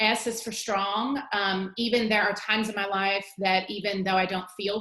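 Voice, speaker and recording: A woman speaks at a medium pitch and a moderate pace. She has a normal speaking voice. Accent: American. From Virginia. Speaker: teacher. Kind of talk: tutorial.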